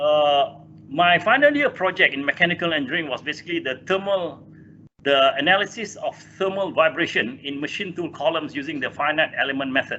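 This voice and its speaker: Speaking at a fairly quick pace, a man with a Malaysian accent has a fairly high pitch. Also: ordinary pitch variation. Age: 60s. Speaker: engineer and corporate chairman. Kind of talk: interview. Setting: video call. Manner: halting.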